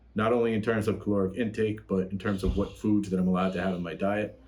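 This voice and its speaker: With a dark, mellow tone and a fairly low pitch, a man talks at a very fast pace. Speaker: fitness youtuber. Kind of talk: casual vlog talk. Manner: animated; energetic.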